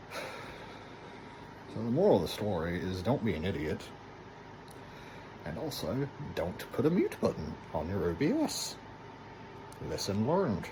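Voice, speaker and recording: A soft-spoken man with a fairly low pitch and very wide pitch swings talks at a fairly slow pace with long, frequent pauses, amid audible room echo and noticeable background noise. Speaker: gaming YouTuber. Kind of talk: casual video intro; casual gameplay commentary.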